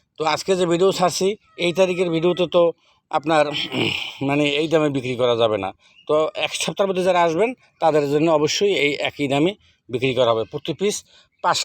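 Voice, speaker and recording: In a dry, close sound with no echo, a man speaks at a fairly high pitch with lively intonation. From Bangladesh, Barisal district. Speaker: fish farmer. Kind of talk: sales pitch. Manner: halting.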